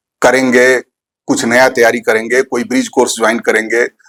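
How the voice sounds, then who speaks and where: Here is a man's voice. The sound is dry and close, with no echo. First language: Bhojpuri (speaking Hindi). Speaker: teacher, poet and author. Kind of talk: interview conversation.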